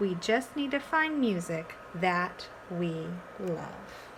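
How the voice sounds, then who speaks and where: A woman puts on a character voice at a medium pitch. She goes at a very slow pace over clear background noise. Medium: read story.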